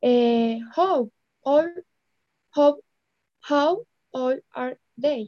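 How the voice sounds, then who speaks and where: High-pitched female voice at a very slow pace, with ordinary pitch variation and long, frequent pauses. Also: dry, close sound with no echo. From Colombia. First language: Spanish. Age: 20s. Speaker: English student. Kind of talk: language lesson. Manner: halting.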